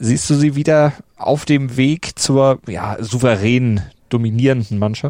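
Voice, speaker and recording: A man talks at a fairly slow pace in a medium pitch, his tone dark and mellow with ordinary pitch variation. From Hamburg. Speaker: podcast host. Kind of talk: casual chat.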